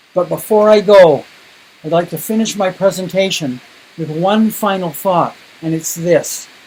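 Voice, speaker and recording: Noticeable background noise surrounds a man speaking at a moderate pace. He has a high pitch and a Canadian accent. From Canada. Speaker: education speaker. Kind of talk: keynote presentation. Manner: emphatic.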